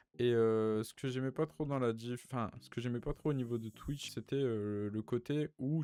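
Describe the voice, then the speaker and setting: The delivery has a dark, mellow tone. It moves at a moderate pace with ordinary pitch variation. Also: man. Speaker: YouTuber and gamer. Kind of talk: casual chat. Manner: stammering, halting.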